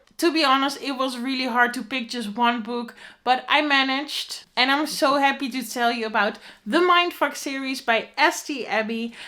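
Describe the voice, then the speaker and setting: A woman's high-pitched voice with a bright, sharp tone, ordinary pitch variation and a moderate pace. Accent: Dutch. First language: Dutch. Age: 20s. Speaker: book reviewer. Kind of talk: book recommendation.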